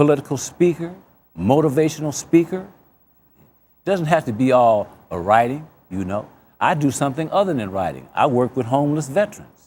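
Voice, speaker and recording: A man with a fairly high pitch and lively intonation at a fairly quick pace, long, frequent pauses, and a very clean recording with a silent background. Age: 60s. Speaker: author and former prisoner. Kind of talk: interview.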